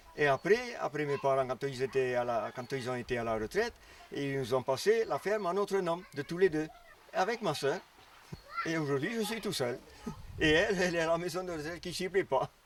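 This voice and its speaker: With noticeable noise behind him, a high-pitched man talks at a moderate pace with lively intonation. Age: 70s. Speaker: farmer. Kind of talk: interview testimony. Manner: halting.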